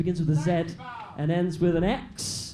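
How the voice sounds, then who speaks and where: A man speaks with a Cockney accent at a high pitch, in a monotone with flat intonation. Noticeable background noise and audible room echo surround him. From East London, outer London. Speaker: stand-up comedian. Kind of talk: stand-up. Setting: stage with audience.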